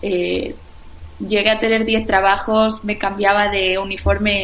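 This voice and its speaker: A woman speaks fairly slowly at a medium pitch with flat, monotone intonation. Noticeable background noise and audible room echo fill the recording. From Spain, Valencia region. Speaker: restaurant founder and former dancer. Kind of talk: interview. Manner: hesitant with frequent repetitions.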